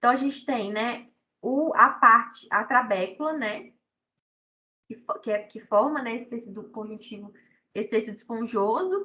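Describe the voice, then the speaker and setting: With long, frequent pauses and big swings in loudness, a woman speaks at a fairly high pitch in a bright, sharp tone, her pitch varying in an ordinary way. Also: moderate pace. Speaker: university lecturer. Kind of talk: online lecture.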